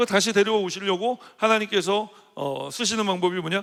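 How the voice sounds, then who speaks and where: This is a man with a high voice. His intonation is fairly even. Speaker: senior pastor. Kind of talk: sermon. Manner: fast.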